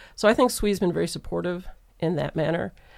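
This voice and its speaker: Speaking at a fairly quick pace with an American accent, a woman uses a fairly low voice with vocal fry and lively intonation. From Michigan, Metro Detroit. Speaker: engineering professor. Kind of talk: panel interview.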